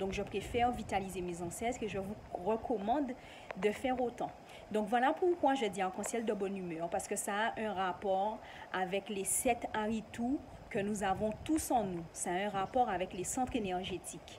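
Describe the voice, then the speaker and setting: Medium pitch from a woman at a moderate pace, with ordinary pitch variation. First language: not French (an ancestral local language) (speaking French). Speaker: YouTuber. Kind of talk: casual vlog explanation.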